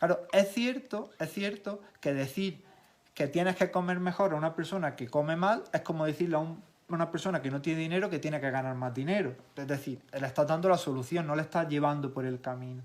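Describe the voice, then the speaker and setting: At a fairly quick pace, a man in an Andalusian accent talks with ordinary pitch variation. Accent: Granada Andalusian. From Granada province, Andalusia, Spain. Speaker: physiotherapist and nutrition specialist. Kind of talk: casual interview chat.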